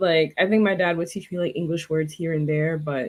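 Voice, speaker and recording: This woman has a New York accent and a fairly low pitch. She talks at a moderate pace. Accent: New York American English. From New York, Queens. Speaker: language tutor. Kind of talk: interview conversation.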